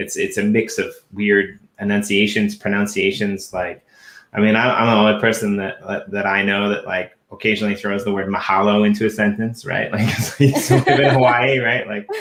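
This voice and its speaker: A man with a fairly low pitch speaks in a flat monotone at a moderate pace, with hardly any pauses. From Canada. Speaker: podcast co-host. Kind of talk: casual chat.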